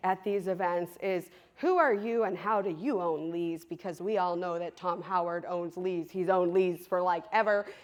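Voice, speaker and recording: Loud, animated woman's voice at medium pitch, bright and sharp in tone, at a fairly slow pace. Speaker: trades business co-owner, conference speaker. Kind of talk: conference presentation. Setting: stage with audience.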